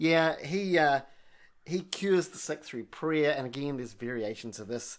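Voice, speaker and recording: An American accent at a moderate pace against a quiet background. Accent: Kiwi American. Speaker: coffee podcast co-host. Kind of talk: casual chat.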